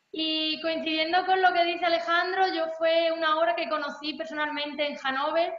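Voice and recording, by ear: Amid audible room echo, a woman speaks at a moderate pace with a high pitch and little pitch movement.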